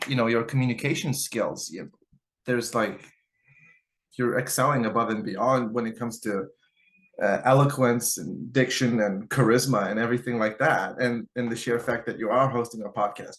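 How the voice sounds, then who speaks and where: In a Lithuanian accent, a man with a medium pitch talks at a moderate pace with fairly even intonation. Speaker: guitarist and YouTuber. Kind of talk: podcast interview. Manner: casual, filler-heavy.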